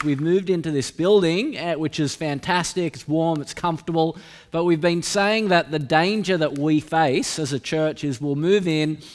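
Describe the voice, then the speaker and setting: Faint music plays in the background as a man speaks at a moderate pace with a high pitch. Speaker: preacher. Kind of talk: sermon. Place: church. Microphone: podium.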